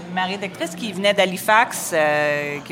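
Over music in the background, a woman with an English accent speaks at a fairly low pitch with ordinary pitch variation. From Montreal, Quebec (Ville-Mont-Royal). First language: English (speaking French). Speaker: food critic. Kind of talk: casual interview. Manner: halting, with repetitions.

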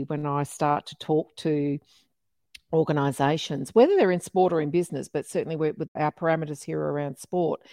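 With an Australian accent, a woman speaks in a very deep, low pitch at a moderate pace, using ordinary pitch variation. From Melbourne, Australia. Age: 50s. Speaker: podcast host, diversity and inclusion consultant. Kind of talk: interview podcast conversation.

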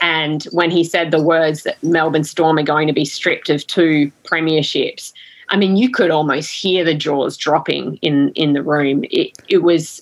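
Her intonation fairly even, a woman with an Australian accent speaks at a fairly low pitch. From Western Australia (Collie, country WA). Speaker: sports broadcaster. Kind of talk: interview. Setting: podcast recording.

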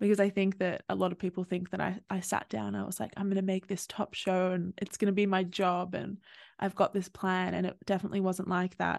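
In an Australian accent, a woman talks fairly quickly at a medium pitch with monotone, flat intonation, in a dry, close sound with no echo against a quiet background. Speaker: podcast host, psychology graduate. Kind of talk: casual interview chat.

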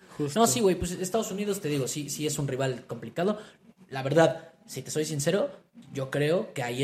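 A man with a fairly high pitch talks at a moderate pace, his intonation lively and his voice somewhat breathy. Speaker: football podcast co-host. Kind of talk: casual chat.

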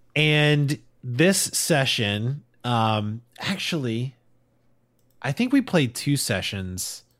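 On a very clean recording with a silent background, a man uses lively intonation in an American accent. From northern US. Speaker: podcast host. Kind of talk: casual banter podcast chat. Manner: joking, comedic.

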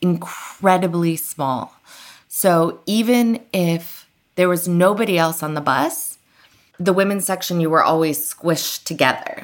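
Using a plain, everyday voice, a woman speaks at a fairly slow pace in a fairly low pitch with ordinary pitch variation. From Iran and United States. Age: 40s. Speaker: author and journalist. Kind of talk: interview.

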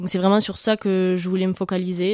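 On a very clean recording with a silent background, a woman speaks at a fairly quick pace and a medium pitch. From southwestern France, Hautes-Pyrénées near Tarbes. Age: 20s. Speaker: university student. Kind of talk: interview.

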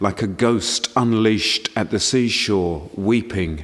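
A man at a very slow pace, fairly low pitch and ordinary pitch variation, with noticeable background noise. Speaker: podcast co-host and actor. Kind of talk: poem reading aloud.

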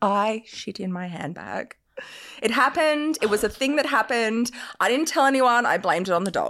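A woman with an Australian accent talks in a fairly high pitch. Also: lively intonation, moderate pace. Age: 30s. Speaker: lingerie business owner. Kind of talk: casual chat. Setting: studio.

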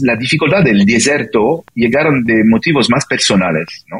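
This man speaks with a French accent. His pitch sits in the medium range. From France, childhood in Italy and Brazil. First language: French (speaking Spanish). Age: 50s. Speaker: business consultant and coach. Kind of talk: interview. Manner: halting, many fillers.

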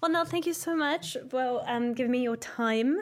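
Delivered at a moderate pace with very wide pitch swings, the speech comes through in a very clean recording with a silent background. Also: woman. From South Africa. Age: 30s. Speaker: podcast host. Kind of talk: casual interview; scripted intro.

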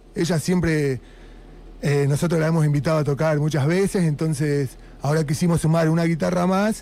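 This man has an unremarkable speaking voice, fairly high in pitch, keeping a very even loudness at a fairly quick pace. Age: 40s. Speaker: punk band musician. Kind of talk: radio interview. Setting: radio studio.

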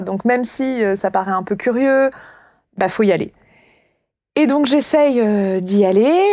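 A woman's fairly high voice with lively intonation at a fairly slow pace, over a quiet background. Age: 30s. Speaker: philosophy teacher and author. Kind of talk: interview conversation.

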